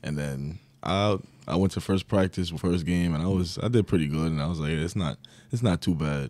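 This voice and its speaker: A man speaks with a New York accent. His voice is very deep and low. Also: ordinary pitch variation. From New York (Long Island). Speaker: college basketball player. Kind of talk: interview.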